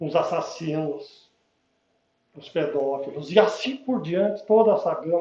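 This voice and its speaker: Speaking at a very slow pace, a man has a high pitch and a dark, mellow tone. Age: 70s. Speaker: spiritist lecturer. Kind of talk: public lecture. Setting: spiritist center with audience. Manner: casual, conversational.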